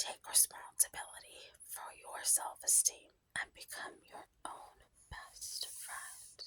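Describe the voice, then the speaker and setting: The voice is whispering at a very slow pace. Its tone is soothing. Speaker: ASMR creator. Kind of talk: whispered book reading for sleep. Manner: whispered, soft, soothing.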